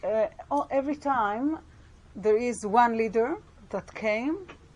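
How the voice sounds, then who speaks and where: Her pitch is fairly high, and her intonation is lively. The woman talks at a very slow pace. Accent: strong Israeli. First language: Hebrew. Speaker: Bible scholar and teacher. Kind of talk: lecture. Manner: halting, with many fillers and restarts.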